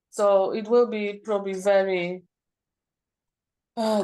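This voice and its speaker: The woman's voice is medium in pitch, with monotone, flat intonation. She speaks at a very slow pace. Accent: non-native. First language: not English. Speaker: parent planning to homeschool. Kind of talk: group video call discussion. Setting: video call. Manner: halting.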